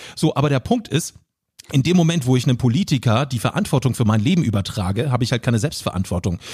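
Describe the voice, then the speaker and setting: A man talks at a very fast pace with lively intonation in a medium pitch. His voice is somewhat breathy, with very even loudness. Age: 30s. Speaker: social media entertainer and producer. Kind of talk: casual chat.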